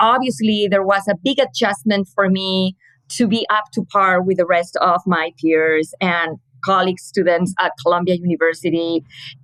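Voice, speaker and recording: In a Spanish accent, a woman speaks at a moderate pace and medium pitch with ordinary pitch variation and very even loudness, the sound dry and close with no echo. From Spain, Madrid. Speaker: communications manager. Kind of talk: interview.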